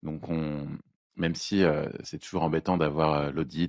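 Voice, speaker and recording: A man speaks at a moderate pace with a very deep, low pitch. His intonation is monotone and flat, and the sound is dry and close with no echo. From France, Lyon and Burgundy. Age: 20s. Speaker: economist, internal auditor. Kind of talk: casual podcast chat.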